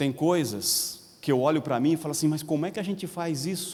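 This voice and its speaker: Man with vocal fry at a fairly quick pace. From Paraná, Brazil (Londrina). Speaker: pastor. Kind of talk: sermon. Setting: convention center with congregation.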